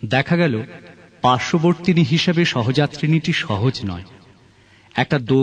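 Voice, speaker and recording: A man uses a normal speaking voice with lively intonation. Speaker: poetry reciter. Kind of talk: poetry reading.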